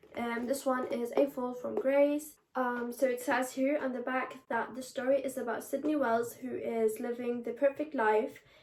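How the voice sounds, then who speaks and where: With hardly any pauses, a woman talks at a moderate pace in a high pitch with fairly even intonation, noticeable background noise behind her. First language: Danish. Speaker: booktuber. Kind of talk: casual chat. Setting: bedroom. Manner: halting.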